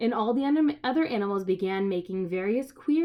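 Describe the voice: Lively intonation over plain reading aloud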